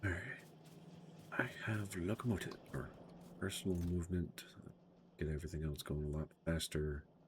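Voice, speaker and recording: A man mumbles in a very deep, low voice at a moderate pace. His speech has long, frequent pauses. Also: ordinary pitch variation. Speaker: gaming streamer. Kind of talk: live gameplay commentary. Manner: mumbling.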